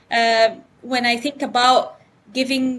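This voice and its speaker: A woman speaks with an Arabic accent in a high voice. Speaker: economics professor. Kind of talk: interview. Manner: animated.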